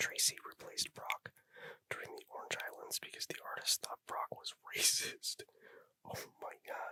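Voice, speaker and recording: A man is whispering. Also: dry, close sound with no echo. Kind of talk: ASMR whispered trivia reading. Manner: whispered, soft-spoken; casual, chatty, with filler words and laughter.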